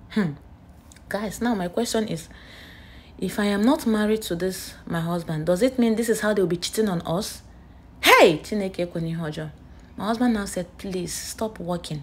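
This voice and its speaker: Speaking fairly slowly, a woman with a Nigerian accent sounds somewhat breathy and uses ordinary pitch variation. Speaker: nurse and vlogger; vlogger. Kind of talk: casual vlog storytelling. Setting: outdoors at a beach. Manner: animated. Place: street. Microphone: phone near.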